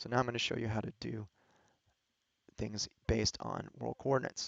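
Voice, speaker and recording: A man is speaking. His voice has vocal fry. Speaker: astronomer teaching data analysis. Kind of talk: screen-share tutorial. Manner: fast; casual, with fillers and restarts.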